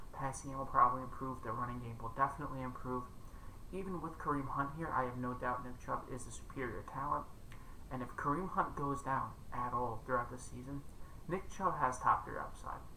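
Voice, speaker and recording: A man speaks quietly at a fairly quick pace. His intonation is fairly even, and the room echo is audible. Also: medium pitch for a man. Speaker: fantasy football content creator. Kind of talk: casual commentary monologue.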